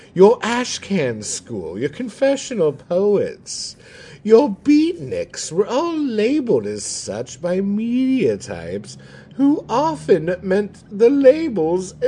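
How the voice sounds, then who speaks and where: A man uses a put-on character voice, pitched high. He speaks at a very slow pace. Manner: pompous.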